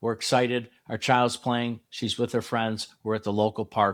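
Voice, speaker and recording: At a moderate pace, an unremarkable speaking voice comes through on a very clean recording with a silent background. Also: man. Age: 60s. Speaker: youth softball coach, podcast host. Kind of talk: solo podcast talk to parents. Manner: conversational, reflective.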